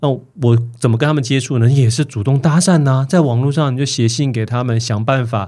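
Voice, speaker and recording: A man's dark, mellow voice moves at a fairly quick pace with ordinary pitch variation and hardly any pauses. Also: medium pitch for a man. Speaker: author, motivational speaker, former mayoral candidate. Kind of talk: casual interview chat. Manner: animated, storytelling.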